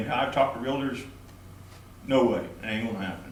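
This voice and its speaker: The speech comes at a very fast pace. Audible room echo and noticeable background noise fill the recording. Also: man. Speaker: taxpayer at public meeting. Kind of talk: public comment. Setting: county commission meeting. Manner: loud.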